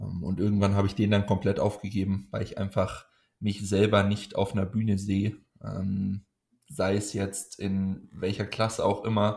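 This man's voice sits at a fairly low pitch. He talks at a moderate pace with monotone, flat intonation. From Munich, Bavaria. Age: 20s. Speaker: powerlifting coach and athlete. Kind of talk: casual interview chat. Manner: hesitant, many filler sounds.

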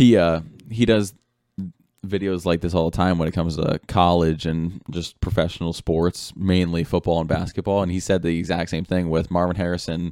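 Deep and very low in pitch, a man's voice holds fairly even intonation. He speaks at a moderate pace. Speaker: podcast host. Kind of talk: casual sports podcast chat.

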